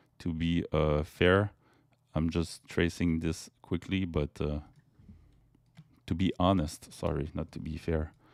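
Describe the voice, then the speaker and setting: With a French accent, a man speaks at a very slow pace and a very deep, low pitch, on a very clean recording with a silent background and a dry, close sound with no echo. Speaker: crypto YouTuber, chart analyst. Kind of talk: technical analysis commentary. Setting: webcam video recording. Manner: halting, many fillers.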